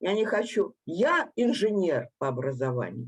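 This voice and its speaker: Her voice sits at a medium pitch for a woman, with vocal fry and very wide pitch swings. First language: Russian. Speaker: engineer, panel participant. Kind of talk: panel discussion.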